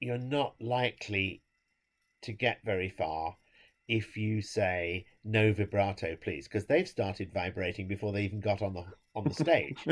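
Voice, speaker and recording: A man with an English accent speaks at a fairly slow pace and a fairly low pitch on a very clean recording with a silent background. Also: ordinary pitch variation. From England. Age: 70s. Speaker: conductor. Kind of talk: interview.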